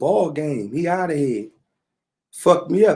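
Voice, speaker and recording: The tone is animated. The intonation is lively and moves around a lot. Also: man. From Philadelphia, North Philly. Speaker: online talk show host. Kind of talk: casual commentary rant.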